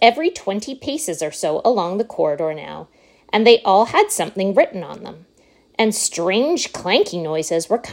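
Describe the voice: What the recording holds is plain reading aloud.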